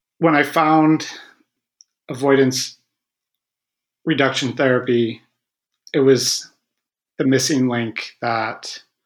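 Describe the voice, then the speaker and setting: A man talks at a very slow pace. His medium-pitched voice has fairly even intonation. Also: long, frequent pauses. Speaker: author who stutters. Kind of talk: interview conversation. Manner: halting, with repetitions and stuttering.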